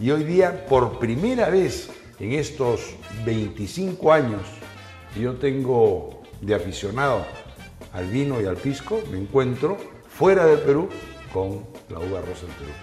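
Faint music plays behind a man who speaks at a very slow pace. His loudness swings widely, and he leaves long, frequent pauses. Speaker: TV host. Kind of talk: conversational explanation to guest.

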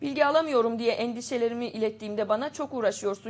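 Using a normal speaking voice, a woman talks fairly quickly at a fairly high pitch with ordinary pitch variation. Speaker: TV show host. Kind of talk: news show, reading headlines and interviewing. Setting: studio. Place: studio.

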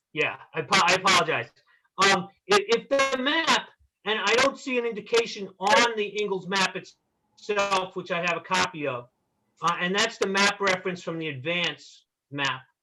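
A man with a Long Island accent uses a raised, projected voice at a high pitch. He keeps a moderate pace with lively intonation. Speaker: attorney for neighbors. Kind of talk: public hearing argument.

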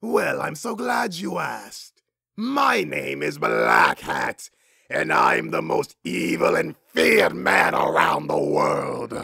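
In a cartoonish character voice, a man growls his words at a very slow pace. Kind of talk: cartoon voice impression. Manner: haughty, condescending, exasperated.

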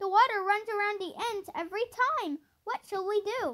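Her voice is raised and projected, bright and sharp in tone. The woman goes at a fairly slow pace. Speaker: audiobook narrator. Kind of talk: audiobook narration of a children's story, read aloud in a storybook tone.

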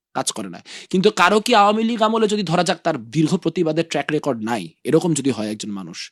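A man's voice makes very wide pitch swings in a dry, close sound with no echo. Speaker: student political leader. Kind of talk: interview.

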